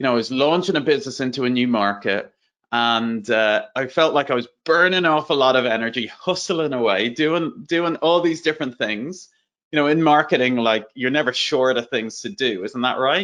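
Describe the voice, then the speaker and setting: A man in an Irish accent at medium pitch, lively intonation, moderate pace, over a quiet background. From Ireland. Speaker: entrepreneur and growth strategy speaker. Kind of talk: webinar presentation. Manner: casual, conversational.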